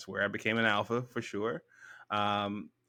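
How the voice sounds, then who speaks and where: Monotone, flat delivery in an American accent. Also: man. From US South, Memphis Tennessee. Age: 30s. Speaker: author and consultant. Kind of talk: interview.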